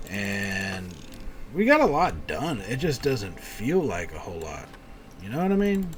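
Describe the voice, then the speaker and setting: An American accent against noticeable background noise. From Texas. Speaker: video game streamer. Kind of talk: live stream gameplay commentary. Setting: live stream. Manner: casual, with frequent fillers and restarts.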